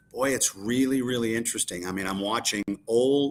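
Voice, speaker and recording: With ordinary pitch variation and a medium pitch, the man has an ordinary speaking voice. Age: 60s. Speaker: sales coach and consultant. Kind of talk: live-stream panel discussion. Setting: live stream.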